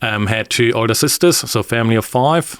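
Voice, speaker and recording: A man's medium-pitched voice with a German accent, on a very clean recording with a silent background. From northern Germany. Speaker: engineering team leader. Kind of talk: podcast interview. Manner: hesitant, many fillers.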